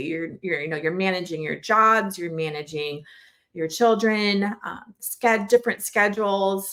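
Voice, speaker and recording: Her voice sits at a medium pitch, and this woman's pitch varies in an ordinary way. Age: 40s. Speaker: preschool podcast host and parent. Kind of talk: casual solo podcast talk. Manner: conversational with fillers and self-corrections.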